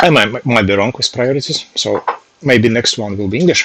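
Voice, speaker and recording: A man speaks with a strong Russian accent at a medium pitch. His pace is moderate, and his pitch varies in an ordinary way. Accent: heavy Russian. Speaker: software developer, language learner streamer. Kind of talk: casual live stream study session. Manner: halting.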